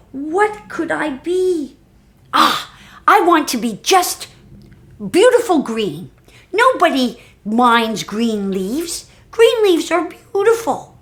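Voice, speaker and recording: In a put-on character voice, the speaker uses a raised, projected voice at a high pitch with very wide pitch swings, a fairly slow pace, and long, frequent pauses. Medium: read story.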